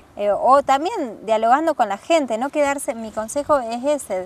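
Behind this recording there is noticeable background noise. The speaker is a woman. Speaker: traveler. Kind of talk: casual chat. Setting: outdoors on a windy hill.

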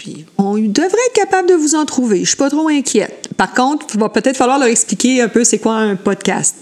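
Delivered at a moderate pace in a Quebec accent, the voice swings very widely in pitch. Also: woman. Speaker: school educator. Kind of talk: casual chat.

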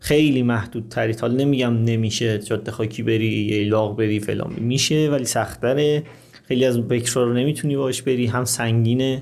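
A man speaks at a moderate pace at medium pitch, with fairly even intonation. He has a plain, everyday voice. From Iran, Qazvin. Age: 30s. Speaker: motorcycle traveler. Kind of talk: interview.

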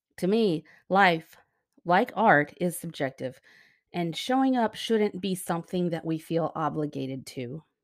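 A woman speaks in an unremarkable speaking voice at a fairly low pitch and fairly slow pace with lively intonation, on a very clean recording with a silent background. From US, moved around; born Texas Panhandle. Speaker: podcast host. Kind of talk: scripted monologue. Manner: warm, gentle.

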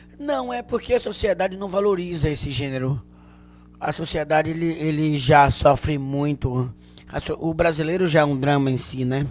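A man speaks in a Bahian accent at a moderate pace. His pitch is fairly high with ordinary variation. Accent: Bahian Brazilian Portuguese. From Bahia, Canavieiras. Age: 40s. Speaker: comedian. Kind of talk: casual chat.

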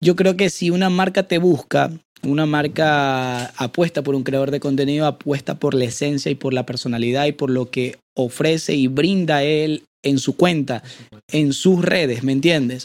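At a moderate pace, a man with an unremarkable speaking voice talks at a fairly high pitch with ordinary pitch variation. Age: 20s. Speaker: content creator and voice-over artist. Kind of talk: casual interview chat.

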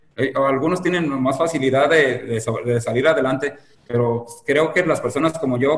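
The speech has fairly even intonation, with noticeable background noise behind it. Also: man, very even loudness. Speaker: marathon runner, former addict. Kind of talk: interview, personal testimony. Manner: hesitant, many fillers.

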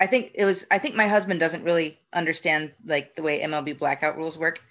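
With an American accent, a woman talks at a fairly quick pace in a bright, sharp tone, her fairly low pitch varying in an ordinary way over a quiet background. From Northeast Ohio, US. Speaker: baseball fan. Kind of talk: casual interview.

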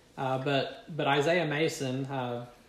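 In a Kentucky accent, a man talks at a medium pitch with fairly even intonation, and audible room echo surrounds his voice. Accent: Kentucky Southern American.

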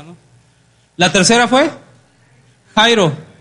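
Music plays behind a man talking at a fairly quick pace. His tone is animated, with ordinary pitch variation. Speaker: preacher. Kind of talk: sermon. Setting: church. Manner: animated, interactive, audience-engaging; colloquial, humorous.

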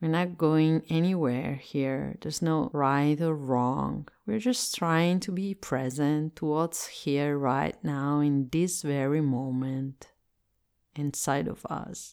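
A woman speaks with an Italian accent in a very deep, low pitch, with ordinary pitch variation. Her pace is very slow, on a very clean recording with a silent background. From Italy. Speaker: meditation teacher. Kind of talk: guided meditation.

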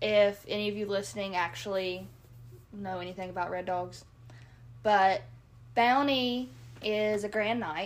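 With a Kentucky accent, a woman speaks with lively intonation, big swings in loudness and long, frequent pauses. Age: 20s. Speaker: co-host, nurse and hunter. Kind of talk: casual chat.

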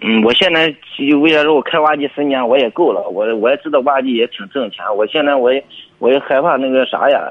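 Noticeable background noise accompanies a man talking at a fairly quick pace. His pitch is fairly high, with ordinary variation. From Heze, Shandong, China. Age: 20s. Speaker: excavator operator, caller. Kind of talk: phone call-in advice. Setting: phone call. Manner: stammering.

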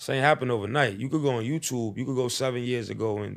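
Someone talks at a very fast pace with a New York accent on a very clean recording with a silent background. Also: man. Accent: New York City. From US Northeast, New York City (East Harlem). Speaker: rapper. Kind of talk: casual interview. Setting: studio.

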